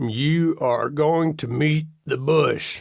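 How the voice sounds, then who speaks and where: In a put-on character voice, a man sounds guttural, gravelly and raspy, pitched fairly high. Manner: short, spirited.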